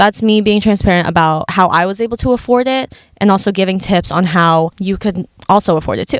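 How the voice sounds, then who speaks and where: Fairly quick speech from a woman at a medium pitch, with ordinary pitch variation. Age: 20s. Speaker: podcast host. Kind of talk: casual talk to camera. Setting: car. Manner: chatty, upbeat.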